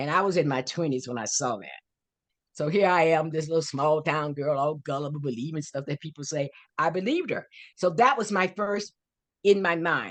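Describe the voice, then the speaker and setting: With an American accent, a woman speaks at a fairly quick pace in a very deep, low voice, her tone animated and her pitch variation ordinary. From US South, Florida (Fort Pierce). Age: 80s+. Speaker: author and life coach. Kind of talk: interview.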